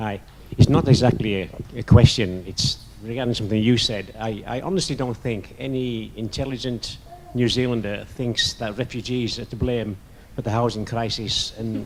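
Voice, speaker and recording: A man with a northern English accent speaks at a medium pitch over noticeable background noise. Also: moderate pace. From northern England. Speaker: audience member. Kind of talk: audience question.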